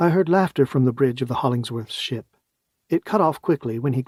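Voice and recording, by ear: Against a quiet background, the intonation is lively as someone reads aloud in a natural voice.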